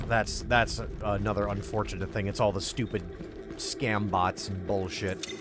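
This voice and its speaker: Moderate-paced speech with an American accent, music in the background. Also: man. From US Midwest. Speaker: video game streamer. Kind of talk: casual chat. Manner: animated.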